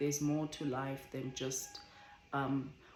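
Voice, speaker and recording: Woman at a very deep, low pitch and a fairly slow pace, with audible room echo and noticeable background noise. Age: 20s. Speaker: vlogger. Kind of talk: casual chat. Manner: careful, measured.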